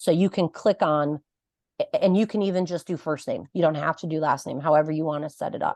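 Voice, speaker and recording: Over a quiet background, a woman with a fairly low pitch, ordinary pitch variation and an ordinary speaking voice is recorded with a dry, close sound with no echo. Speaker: club president and software trainer. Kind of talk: tutorial.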